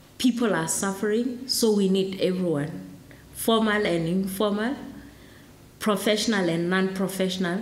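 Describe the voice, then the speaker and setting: A woman with a Lesotho accent speaks at a moderate pace and a medium pitch, pausing long and often. Room echo is audible, and there is noticeable background noise. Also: ordinary pitch variation. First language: Sesotho. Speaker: program director at launch event. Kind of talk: formal event speech.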